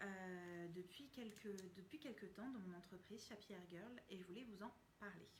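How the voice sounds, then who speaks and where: Her voice somewhat breathy and medium in pitch, a woman speaks at a fairly slow pace with ordinary pitch variation. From France. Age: 30s. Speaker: communication consultant and trainer. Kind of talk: casual live stream talk to viewers.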